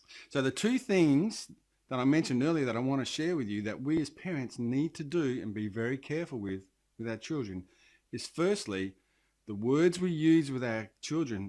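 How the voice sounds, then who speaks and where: Speaking fairly quickly in an Australian accent, a man with a medium pitch uses lively intonation on a very clean recording with a silent background. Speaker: parenting coach and leadership trainer. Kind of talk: direct-to-camera talk.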